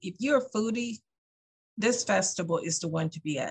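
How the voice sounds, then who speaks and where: Somewhat breathy, a woman with an American accent talks at a moderate pace and medium pitch, with ordinary pitch variation. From US South. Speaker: festival organizer. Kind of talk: interview. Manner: hesitant with fillers.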